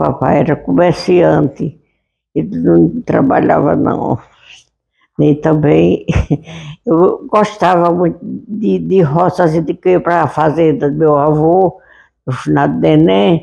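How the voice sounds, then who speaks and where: A woman talks at a very slow pace with long, frequent pauses. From Monte Alegre, Sergipe, Brazil. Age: 90s. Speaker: local elder and educator. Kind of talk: interview. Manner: halting.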